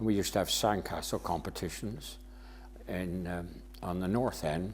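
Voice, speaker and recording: A man speaks at a moderate pace in a very deep, low voice with lively intonation and vocal fry. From Somerset, England (Burnham-on-Sea). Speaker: local resident sharing memories. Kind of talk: oral history interview. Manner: halting.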